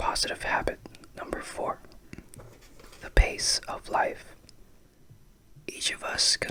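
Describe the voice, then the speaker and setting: Whispering at a fairly slow pace, the voice has a soothing tone over noticeable background noise. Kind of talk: ASMR book reading, whispered. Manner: whispered, soothing.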